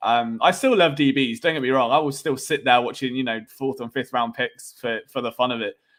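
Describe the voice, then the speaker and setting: This man's fairly high voice carries a British accent. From England. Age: 20s. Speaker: sports podcaster. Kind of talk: live stream sports talk with chat. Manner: casual, conversational with fillers.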